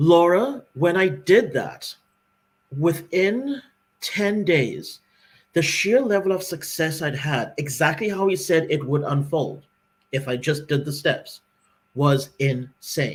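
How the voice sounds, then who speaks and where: A man speaks with lively intonation. His pitch is fairly high. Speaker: podcast co-host. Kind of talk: casual chat. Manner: fast.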